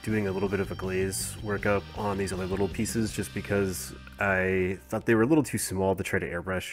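A man speaks at a moderate pace with a very deep, low pitch and ordinary pitch variation. His tone is relaxed, and music plays in the background. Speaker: miniature painter. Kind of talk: tutorial voice-over. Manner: casual, relaxed.

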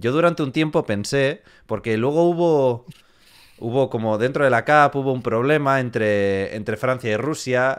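Against a quiet background, a man speaks at a fairly slow pace with medium pitch and ordinary pitch variation. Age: 20s. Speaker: beatboxer and YouTuber; interview host. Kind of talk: casual chat. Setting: live stream. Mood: relaxed, friendly. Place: home room. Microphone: studio mic.

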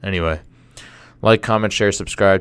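A man talks at a very deep, low pitch with fairly even intonation. The sound is dry, with no echo. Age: 20s. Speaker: podcast host. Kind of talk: casual monologue; casual vlog chat. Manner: halting. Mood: somber, reflective. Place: studio. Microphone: studio mic.

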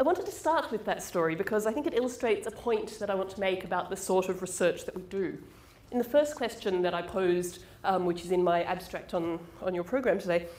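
Very fast delivery with ordinary pitch variation and audible room echo. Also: woman. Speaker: presenter. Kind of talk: lecture. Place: hall.

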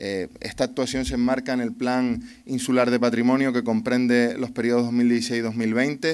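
A man speaks at a fairly slow pace in a medium-pitched, flat, monotone voice, with hardly any pauses. The background is quiet. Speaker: regional government official. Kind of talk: ceremonial speech. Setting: outdoors. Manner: halting. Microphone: podium.

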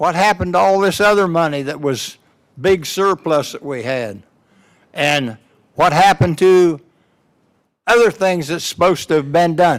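The speaker uses lively intonation at a moderate pace. Long, frequent pauses break up the delivery. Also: man, high pitch for a man. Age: 80s+. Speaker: public commenter at county meeting. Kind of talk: public comment at hearing. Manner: combative, blunt.

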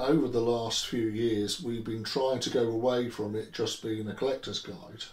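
A man with a southern English accent speaks at a moderate pace with hardly any pauses. His intonation is fairly even, and there is audible room echo. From England. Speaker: Tolkien book collector; interviewee. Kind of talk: interview. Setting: at home. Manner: halting. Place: home room.

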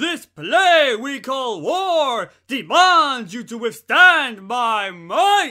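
In a put-on character voice, a man speaks at an extremely high pitch, raised and projected. The pace is very slow, with hardly any pauses. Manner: grandiose, declamatory.

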